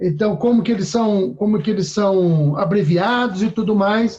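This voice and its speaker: High pitch from a man, with ordinary variation. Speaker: church teacher. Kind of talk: online class. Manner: fast.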